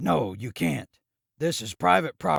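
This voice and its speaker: A man's raspy, put-on character voice at a moderate pace, with very wide pitch swings. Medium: read story.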